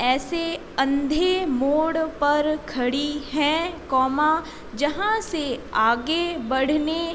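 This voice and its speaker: A woman's high voice with ordinary pitch variation, over noticeable background noise. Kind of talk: stenography dictation read. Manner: slow, with spoken punctuation.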